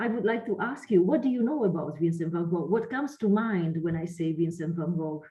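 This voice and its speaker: This woman has a fairly low pitch and lively intonation. She moves at a fairly quick pace with hardly any pauses. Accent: Italian. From Italy. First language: Italian. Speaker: lecturer and researcher. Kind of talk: online lecture.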